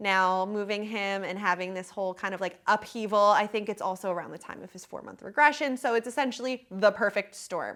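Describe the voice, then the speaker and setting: On a very clean recording with a silent background, a woman talks in an animated tone at a fairly quick pace and medium pitch, with ordinary pitch variation, big swings in loudness and hardly any pauses. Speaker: podcast host. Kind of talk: casual chat. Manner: fast.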